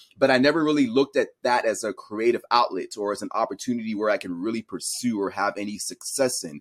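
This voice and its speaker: A man with an American accent at a very fast pace, hardly any pauses, and a dry, close sound with no echo. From raised partly in Cameroon, then US. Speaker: science educator and content creator. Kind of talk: interview.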